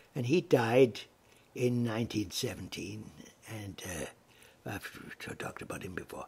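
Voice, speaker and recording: A somewhat breathy man at a very slow pace. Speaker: family historian narrator. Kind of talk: lecture. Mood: warm, reminiscing. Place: home room. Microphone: webcam.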